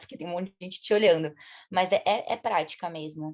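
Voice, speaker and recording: Ordinary pitch variation marks this woman's unremarkable speaking voice as she goes at a moderate pace. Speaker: student volunteer. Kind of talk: casual group discussion.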